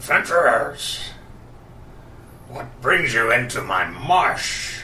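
A man speaks in a croaky, put-on character voice at a very slow pace. Clear background noise runs underneath.

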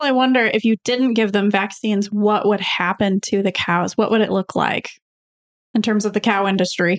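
A woman's unremarkable speaking voice at medium pitch, moderate pace, very even loudness and fairly even intonation, with a dry, close sound and no echo. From Michigan (West Bloomfield). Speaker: co-host, therapist. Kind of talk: casual talk show. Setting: studio.

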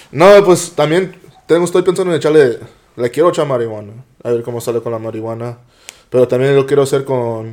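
A man speaks at a fairly quick pace in a normal speaking voice, his medium pitch rising and falling with lively intonation. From US West Coast, San Jose, California (Eastside). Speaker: podcast guest, small food business owner. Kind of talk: casual chat.

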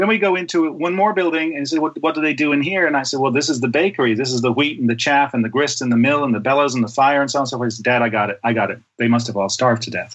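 With hardly any pauses, a fairly high-pitched man speaks very fast, using ordinary pitch variation. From Ireland. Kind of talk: podcast interview.

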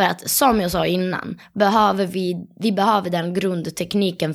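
A normal speaking voice at a fairly slow pace, on a very clean recording with a silent background. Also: woman. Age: 20s. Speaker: competitive dancer and dance teacher. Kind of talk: casual interview.

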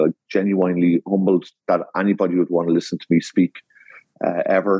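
A man's very deep, low voice in an Irish accent, with monotone, flat intonation. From Ireland. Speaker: landscape designer. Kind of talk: interview. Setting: video call.

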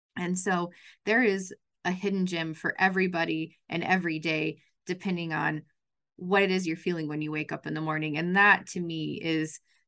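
An ordinary speaking voice from a woman with a General American accent, fairly low in pitch, at a fairly quick pace with fairly even intonation, against a quiet background. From western Colorado, Grand Junction. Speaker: chamber of commerce CEO. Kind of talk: interview.

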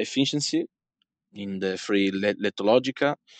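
A man with an Italian accent talks at a fairly slow pace, the sound dry and close with no echo against a quiet background. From Italy. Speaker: card game tournament winner. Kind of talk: interview. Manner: halting.

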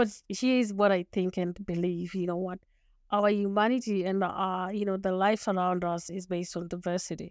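A woman with a Zimbabwean accent speaks at a moderate pace and medium pitch with fairly even intonation, on a very clean recording with a silent background. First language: Shona. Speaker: lawyer, leadership coach and author. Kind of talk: interview.

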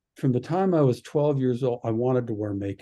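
A man with a Canadian accent speaks at a medium pitch and moderate pace, his tone dark and mellow, somewhat breathy, with lively intonation. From Canada, Alberta (Red Deer). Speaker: radio and media producer. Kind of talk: casual chat.

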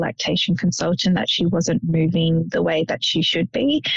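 This is a woman with an Australian accent. She talks at a moderate pace. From Sydney, Australia. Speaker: police officer and genetics ambassador, bereaved mother. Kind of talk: casual interview, personal testimony.

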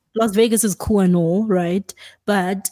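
A dark, mellow tone in monotone, flat intonation, with a dry, close sound with no echo, on a very clean recording with a silent background. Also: woman. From South Africa. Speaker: podcast co-host. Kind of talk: casual chat.

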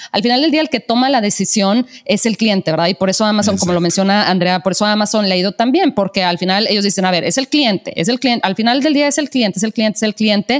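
Speaking very fast with hardly any pauses, a woman with a strong northern Mexican accent keeps her loudness very even, her pitch medium and her pitch variation ordinary, over noticeable background noise. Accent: strong northern Mexican accent, sing-song. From northern Mexico. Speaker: podcast host. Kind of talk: casual interview. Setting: call.

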